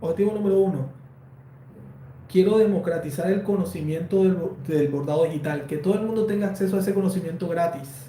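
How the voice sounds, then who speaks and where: A man with a Colombian accent at a fairly quick pace, ordinary pitch variation, and audible room echo. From Colombia, Valledupar. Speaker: embroidery designer and online teacher. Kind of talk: live stream Q&A. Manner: conversational, with fillers.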